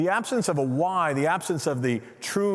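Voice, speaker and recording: With lively intonation and a normal speaking voice, a man talks at a moderate pace. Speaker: keynote speaker and organizational consultant. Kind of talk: keynote talk.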